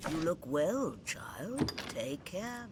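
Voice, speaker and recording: A put-on character voice at a middle pitch comes through with clear background noise. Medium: video game. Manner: storytelling, warm.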